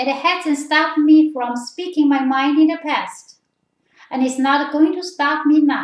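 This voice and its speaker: Her pitch is high, and she speaks in a Chinese accent. This woman keeps a fairly slow pace and fairly even intonation. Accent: Chinese accent, noticeable. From China. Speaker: political commentator. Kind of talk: video commentary.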